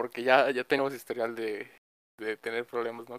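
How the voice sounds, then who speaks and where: In a Mexican accent, a man speaks with monotone, flat intonation and a dry, close sound with no echo. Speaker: student, podcast guest. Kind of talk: casual chat.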